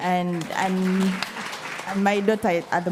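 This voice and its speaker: The speech comes at a fairly slow pace in a monotone, flat intonation. Crowd noise can be heard in the background. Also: woman. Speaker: asylum seeker panelist. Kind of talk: panel discussion. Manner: halting.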